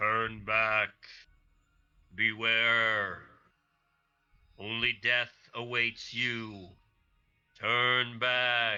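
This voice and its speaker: Putting on a loud, booming character voice, a man talks at a medium pitch in a monotone, flat delivery, very slowly, with long, frequent pauses. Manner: menacing.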